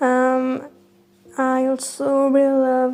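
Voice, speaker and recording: Her voice high in pitch, a woman speaks with a French accent. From France. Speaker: YouTuber. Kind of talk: casual Q&A talk to camera. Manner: halting, with filler sounds.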